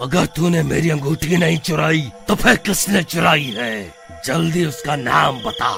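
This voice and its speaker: Against clear music in the background, a man puts on a cartoonish character voice with a fairly high pitch at a fairly slow pace. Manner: menacing, demanding.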